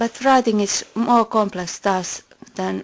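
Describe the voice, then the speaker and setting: A woman with a Finnish accent, against noticeable background noise. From Finland. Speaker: philosophy video maker. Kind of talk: scripted narration.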